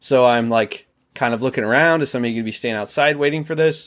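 A man with an American accent uses an ordinary speaking voice at medium pitch, with ordinary pitch variation and a fairly quick pace, in a very clean recording with a silent background. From Ohio. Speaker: YouTuber and delivery driver. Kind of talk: casual interview.

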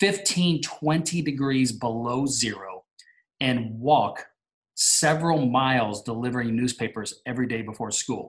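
Man with an American accent, medium pitch and ordinary pitch variation, somewhat breathy, at a fairly slow pace. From US, military family, partly Alaska. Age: 40s. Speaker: entrepreneur and mentor. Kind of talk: podcast interview.

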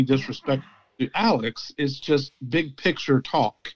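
An unremarkable speaking voice from a man, fairly high in pitch and fairly slow, with ordinary pitch variation and a dry, close sound with no echo. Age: 50s. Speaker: football commentator. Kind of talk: casual chat.

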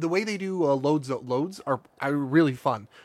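This man speaks with lively intonation. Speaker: podcast co-host. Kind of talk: casual chat.

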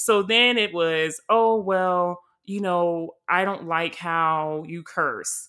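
In a very clean recording with a silent background, a woman speaks at a very slow pace, her fairly low voice carrying a bright, sharp tone. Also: fairly even intonation. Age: 20s. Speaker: podcast host. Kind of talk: casual chat.

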